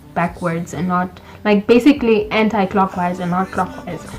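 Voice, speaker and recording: Noticeable background noise runs under this recording. A woman talks with ordinary pitch variation. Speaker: medical student vlogger. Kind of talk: storytelling vlog.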